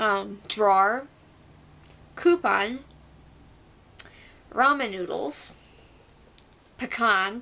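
Speaking at a very slow pace with long, frequent pauses, a woman uses a fairly high pitch, a bright, sharp tone, and lively intonation. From Wisconsin. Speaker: vlogger. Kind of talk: casual talk to camera. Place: home room. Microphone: webcam.

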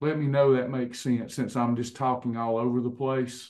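A man's medium-pitched voice stays in a monotone, flat intonation. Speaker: wellness coach and class leader. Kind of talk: online class with presentation. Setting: video call.

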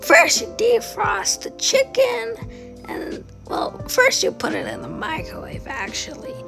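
Clear music sounds in the background while the speech moves at a very slow pace. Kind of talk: casual cooking tutorial. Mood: cheerful. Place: kitchen. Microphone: phone near.

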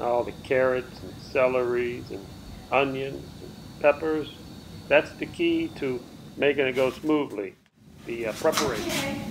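With long, frequent pauses and fairly even intonation, a man speaks at a fairly slow pace over noticeable background noise. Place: kitchen. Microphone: phone near.

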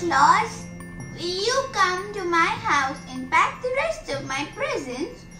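A woman speaks in a put-on character voice at a fairly slow pace. Music plays clearly in the background. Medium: read story.

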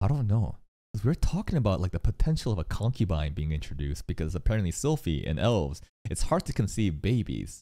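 This man's fairly low voice, dark and mellow in tone, moves at a very fast pace with very wide pitch swings. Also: quiet background. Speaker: anime reaction streamer. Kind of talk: commentary. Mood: thoughtful, amused. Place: home room. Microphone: studio mic.

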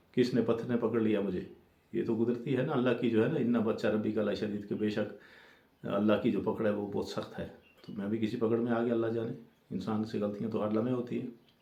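A man's dark, mellow tone with monotone, flat intonation and audible room echo. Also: medium pitch for a man. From Jammu and Kashmir, Rajouri. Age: 50s. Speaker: storyteller. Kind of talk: personal testimony.

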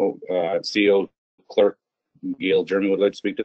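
Speaking at a fairly quick pace, a man keeps his low pitch with little pitch movement. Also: dry, close sound with no echo.

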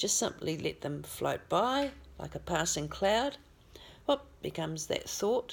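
A woman with an Australian accent speaks at a fairly slow pace in a gentle, calm tone. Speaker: spiritual healer and channeller. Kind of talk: guided meditation. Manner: slow, calm, soothing; gentle, instructive. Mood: calm, soothing. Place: home room. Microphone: phone near.

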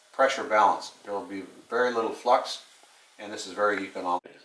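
Amid audible room echo and light background noise, a man with a fairly low pitch speaks with fairly even intonation. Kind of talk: tutorial. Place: home room. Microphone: camera far.

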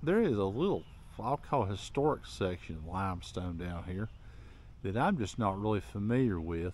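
The man talks at a moderate pace with a dry sound and no echo. Light background noise can be heard. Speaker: local history vlogger. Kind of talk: casual vlog chat. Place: open country. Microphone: phone near.

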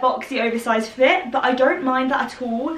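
A woman's raised, projected voice, high-pitched, with an English accent and audible room echo. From England. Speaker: fashion YouTuber. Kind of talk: try-on haul video. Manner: excitable. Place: home room. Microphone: camera far.

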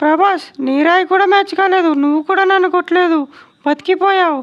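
A woman performs a cartoonish character voice at an extremely high pitch. Her pace is moderate and her intonation fairly even. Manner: scolding, threatening, blunt.

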